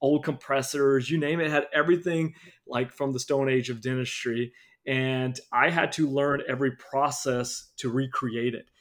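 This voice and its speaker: An unremarkable speaking voice from a man, fairly high in pitch, at a moderate pace on a very clean recording with a silent background. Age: 30s. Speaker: dentist and practice owner. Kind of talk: interview.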